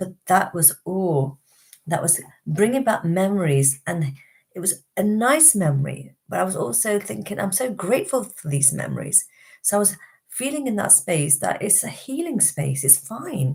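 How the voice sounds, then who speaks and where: A woman's somewhat breathy, medium-pitched voice in a British accent, with very wide pitch swings at a moderate pace. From Britain, Indian background. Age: 50s. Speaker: wellbeing teacher and healer. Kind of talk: live stream talk.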